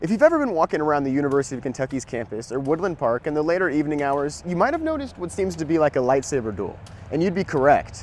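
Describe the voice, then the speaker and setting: An American-accented man speaks at a very fast pace with hardly any pauses. His fairly high pitch and lively intonation carry an upbeat, playful tone. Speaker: college TV news reporter. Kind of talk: TV news broadcast reporting.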